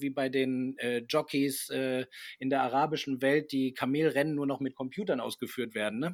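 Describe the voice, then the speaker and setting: The recording is very clean, its background silent. An unremarkable speaking voice keeps a moderate pace and fairly even intonation. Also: man. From Argentina, German-speaking family. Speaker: TV reporter and presenter. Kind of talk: casual chat.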